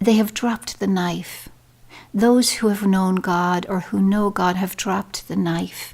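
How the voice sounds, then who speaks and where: Speaking in an Irish accent, a woman uses a medium pitch. Her pace is fairly slow and her intonation fairly even. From Ireland. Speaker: poet. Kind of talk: casual talk to camera.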